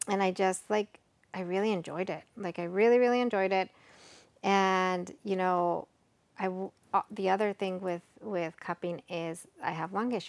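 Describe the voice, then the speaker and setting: In an American accent, a woman speaks at a moderate pace in a normal speaking voice with fairly even intonation. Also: medium pitch for a woman, very clean recording, silent background. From Texas, Mexican American, college in Mexico. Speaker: cup crafter and psychologist. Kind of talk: casual chat. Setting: in person at host's home.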